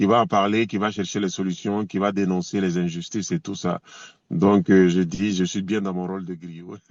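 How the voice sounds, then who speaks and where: At a moderate pace, a man speaks with a very deep, low pitch in a monotone, flat intonation. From Côte d'Ivoire / Burkina Faso. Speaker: reggae singer. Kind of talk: interview. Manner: hesitant, many fillers.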